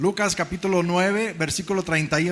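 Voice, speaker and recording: A man talks at a fairly slow pace while noticeable background noise continues behind him. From Mexico. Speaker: preacher. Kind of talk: sermon. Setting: church.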